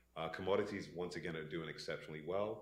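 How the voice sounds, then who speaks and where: A man is speaking. Room echo can be heard. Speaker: investment consultant presenting to pension board. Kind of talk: business presentation. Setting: in-person meeting room. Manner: many filler words (uh).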